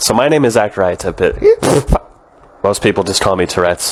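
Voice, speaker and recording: Noticeable background noise sits behind a man speaking at a moderate pace with a fairly low pitch. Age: 20s. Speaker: stand-up comedian with Tourette syndrome. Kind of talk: direct-to-camera intro talk; stand-up.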